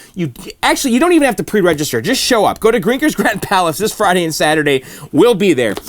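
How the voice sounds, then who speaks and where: Over noticeable background noise, a man speaks at a very fast pace in a high pitch with very wide pitch swings. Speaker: YouTuber fixing arcade machines. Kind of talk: casual vlog outro. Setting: basement.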